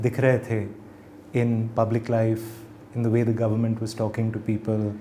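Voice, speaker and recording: This man's medium-pitched voice holds very even loudness, broken by long, frequent pauses. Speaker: journalist and author. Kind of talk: interview. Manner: code-switching Hindi and English.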